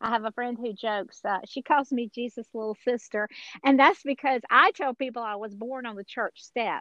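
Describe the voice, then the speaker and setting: A woman with an American accent speaks at a high pitch and a moderate pace. Her loudness swings widely while her pitch varies in an ordinary way. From Georgia, US South. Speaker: author and speaker. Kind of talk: interview, personal testimony.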